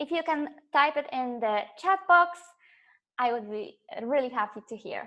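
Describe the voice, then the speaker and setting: A woman with a slight Polish accent, high pitch, and lively intonation at a moderate pace, with big swings in loudness and long, frequent pauses. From Poland. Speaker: life coach. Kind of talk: live webinar presentation. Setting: online webinar, camera off. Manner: hesitant, many fillers.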